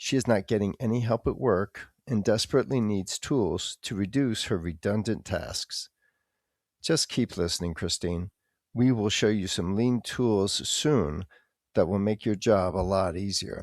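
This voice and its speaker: A man speaks at a fairly slow pace and a fairly low pitch with ordinary pitch variation. The recording is very clean, with a silent background and a dry, close sound with no echo. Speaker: podcast host and English teacher. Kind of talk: scripted educational podcast. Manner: clear, deliberate.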